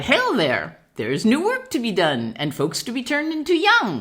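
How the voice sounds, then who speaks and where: At a moderate pace, a woman performs a put-on character voice with a fairly high pitch. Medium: read story.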